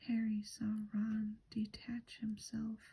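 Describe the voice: The clip is plain reading aloud. The text is simply read out.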